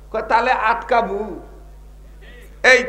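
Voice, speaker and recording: The voice is raised and projected. Noticeable background noise sits behind it. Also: man. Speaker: Islamic preacher. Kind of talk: waz sermon to a live crowd. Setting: live outdoor gathering with microphone and PA. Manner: loud, call-and-response, conversational, humorous.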